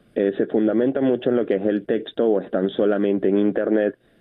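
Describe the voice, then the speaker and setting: This man's voice sits fairly low. His intonation is flat and monotone. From Venezuela. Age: young. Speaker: photojournalist. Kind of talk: phone interview. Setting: phone call.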